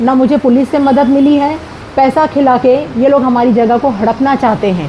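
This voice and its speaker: With noticeable background noise behind her, a woman speaks in a high voice with ordinary pitch variation. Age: 60s. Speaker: retired teacher, property owner. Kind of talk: statement to media.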